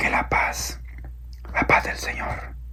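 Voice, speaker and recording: A soft-spoken man talks at a fairly slow pace over noticeable background noise. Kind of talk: religious sermon, Bible teaching.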